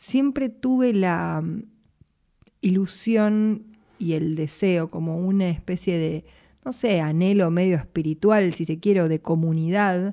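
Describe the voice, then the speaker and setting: At a very slow pace, a woman in a Rioplatense accent speaks with a dark, mellow tone, medium pitch and ordinary pitch variation. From Buenos Aires, Argentina. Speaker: singer-songwriter. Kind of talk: interview.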